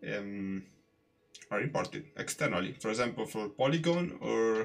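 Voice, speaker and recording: With an Italian accent, a man speaks with lively intonation. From Italy. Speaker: 3D artist live streamer. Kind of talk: live tutorial stream. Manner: halting, many fillers.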